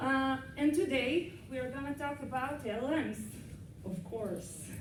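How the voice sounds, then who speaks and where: Speaking at a fairly slow pace, a woman uses a high pitch and lively intonation. The room echoes audibly, and background noise is noticeable. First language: not English. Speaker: cybersecurity consultant. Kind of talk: lecture. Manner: halting.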